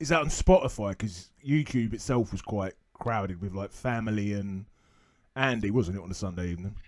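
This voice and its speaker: Very clean recording, silent background, and a man speaking with a London accent. His pitch is fairly low with ordinary variation, and his pace is fairly quick. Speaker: fantasy football podcast host and lecturer. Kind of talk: interview.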